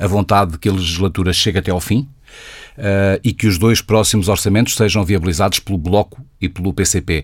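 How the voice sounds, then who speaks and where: A man's fairly low-pitched voice at a fairly quick pace, an ordinary speaking voice. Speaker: radio host. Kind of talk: radio interview.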